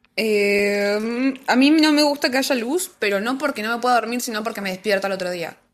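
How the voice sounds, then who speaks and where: A woman speaks in a normal speaking voice at a moderate pace, fairly high in pitch with ordinary variation. The recording is very clean, with a silent background. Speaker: podcast co-host. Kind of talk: casual chat. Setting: live stream.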